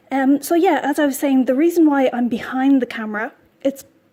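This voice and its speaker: With a dark, mellow tone and an Irish accent, the voice moves at a fairly quick pace, keeping its intonation fairly even. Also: woman. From Ireland. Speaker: knitting podcaster. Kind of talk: casual vlog chat while knitting. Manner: hesitant, many ums and repeats.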